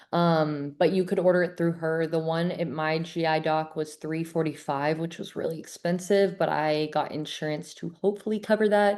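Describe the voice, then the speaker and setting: In a plain, everyday voice, a woman speaks at a fairly low pitch and a moderate pace. Her intonation is fairly even, she hardly pauses, and the background is quiet. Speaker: gut health coach. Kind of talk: online webinar presentation. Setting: video call. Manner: casual, filler-heavy.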